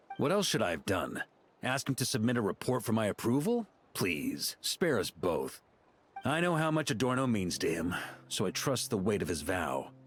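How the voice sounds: A put-on character voice with a slightly husky edge swings very widely in pitch at a moderate pace, with faint music in the background. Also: man, fairly low pitch for a man.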